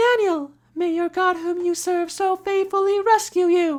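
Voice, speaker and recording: Shouting in a squeaky, extremely high put-on character voice, the speaker keeps a moderate pace. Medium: read story. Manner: shouting down into pit.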